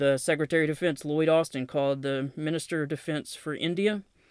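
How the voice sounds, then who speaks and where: With a Southern accent, a man speaks at a fairly high pitch and with fairly even intonation. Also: very clean recording, silent background. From US South, Knoxville, Tennessee. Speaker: podcast host, military veteran and author. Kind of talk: solo podcast monologue with news reading.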